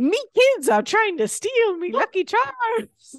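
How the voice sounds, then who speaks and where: This put-on character voice sits at an extremely high pitch with very wide pitch swings. The pace is fairly slow. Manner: comic, gruff.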